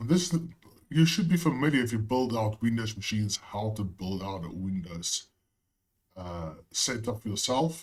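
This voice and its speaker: A somewhat breathy man's voice at medium pitch, with very wide pitch swings. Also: moderate pace. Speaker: IT tutorial creator. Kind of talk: tutorial. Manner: casual, with frequent fillers.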